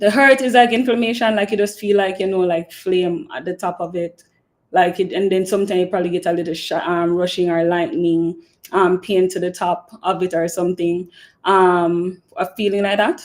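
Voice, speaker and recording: With a Jamaican accent, a woman of medium pitch speaks at a moderate pace with fairly even intonation. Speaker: podcast host. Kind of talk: live stream Q&A chat. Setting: live stream. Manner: casual, filler-heavy.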